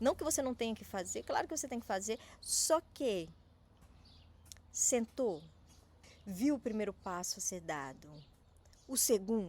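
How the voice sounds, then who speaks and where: A woman with a fairly high voice and vocal fry swings very widely in pitch. She leaves long, frequent pauses. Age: 30s. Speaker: small business coach. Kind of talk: motivational talk to camera. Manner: halting, repeats and clips words.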